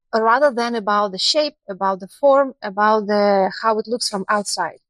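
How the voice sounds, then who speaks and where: A woman's fairly high voice with a Russian accent, at a moderate pace and with ordinary pitch variation, in a dry, close sound with no echo. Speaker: university international cooperation specialist. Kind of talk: podcast interview. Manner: halting.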